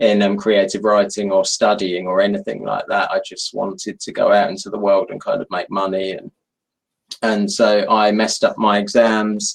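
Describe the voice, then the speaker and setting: The pace is moderate as a man talks. Big swings in loudness run through his speech. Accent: London. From London, England. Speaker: novelist. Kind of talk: author interview.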